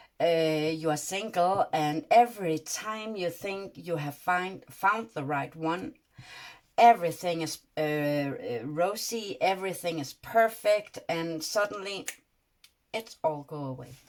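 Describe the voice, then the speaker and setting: A woman speaks very slowly in a Danish accent, her pitch fairly low. Her intonation is lively. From Denmark. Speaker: tarot reader. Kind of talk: tarot reading monologue. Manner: halting, many fillers.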